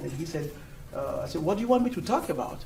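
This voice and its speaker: A man with a non-native accent speaks with lively intonation. Noticeable background noise and audible room echo are present. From Europe. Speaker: engineering executive. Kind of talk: conference talk.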